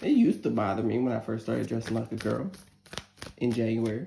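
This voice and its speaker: Over noticeable background noise, a woman with an American accent talks at a very fast pace in an animated tone. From northern US. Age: 40s. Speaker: tarot reader. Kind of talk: tarot reading with casual asides. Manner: animated, emotional.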